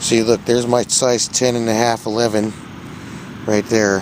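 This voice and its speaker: Against noticeable background noise, a man talks at medium pitch with monotone, flat intonation. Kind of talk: walking video tour narration. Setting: outdoors.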